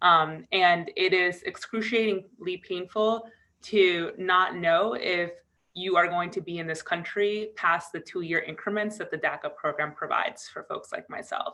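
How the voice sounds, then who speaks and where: A woman with an American accent speaks in an ordinary speaking voice at a fairly slow pace. Her pitch is medium and her intonation fairly even. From US Northeast, Connecticut. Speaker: DACA recipient advocate. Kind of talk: virtual press call remarks. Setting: video call.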